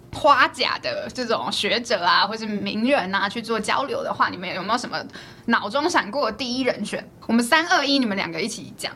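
Her pitch is fairly high and her intonation lively as this woman talks at a moderate pace. Noticeable background noise can be heard. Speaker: podcast host. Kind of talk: interview.

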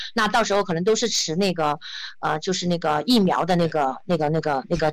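Over noticeable background noise, a woman speaks at a fairly quick pace in a fairly low pitch. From Guizhou, China (Zunyi). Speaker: travel entrepreneur and social media creator. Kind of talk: interview. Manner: hesitant, many fillers.

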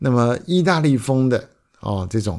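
A man's plain, everyday voice with lively intonation, at a fairly slow pace, on a very clean recording with a silent background. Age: 50s. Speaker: podcast host. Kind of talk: solo podcast monologue.

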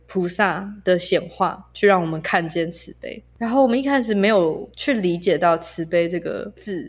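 A woman speaks with a normal speaking voice at a medium pitch. Her pace is moderate, with ordinary pitch variation. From Malaysia. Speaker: spiritual guide. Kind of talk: casual interview chat. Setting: remote recording.

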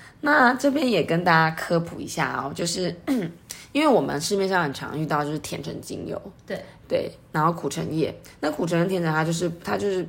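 Fairly low-pitched female voice, fairly quick and lively in intonation, with audible room echo. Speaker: aromatherapy podcast co-host. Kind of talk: casual chat.

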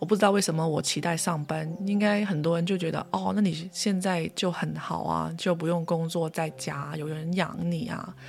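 A woman with a Cantonese accent talks in a fairly low pitch, her intonation fairly even. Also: moderate pace, hardly any pauses. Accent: Cantonese-accented Mandarin. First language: Cantonese (speaking Chinese). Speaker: podcast host, spiritual practitioner. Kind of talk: casual solo monologue.

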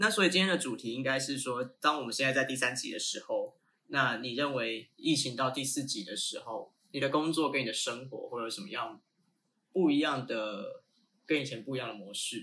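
A man's medium-pitched voice with a Taiwanese accent, bright and sharp in tone, at a moderate pace with ordinary pitch variation. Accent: Taiwanese Mandarin. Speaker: podcast co-host, runs a branding and marketing firm. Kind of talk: casual chat.

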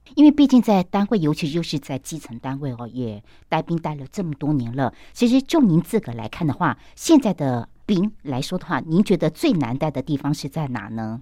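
In a very clean recording with a silent background, a woman speaks at a moderate pace with hardly any pauses, her pitch very deep and low and her tone dark and mellow. Her pitch swings very widely and her loudness rises and falls sharply. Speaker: podcast host. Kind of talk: interview. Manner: animated.

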